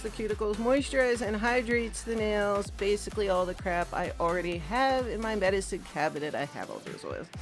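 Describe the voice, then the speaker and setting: Music sits in the background while a woman talks. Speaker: beauty vlogger. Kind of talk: casual talk to camera. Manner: sassy.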